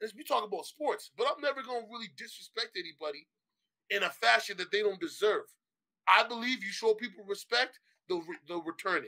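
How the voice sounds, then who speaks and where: The speaker has an animated tone and a fairly quick pace. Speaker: sports podcast host. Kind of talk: casual chat. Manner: loud.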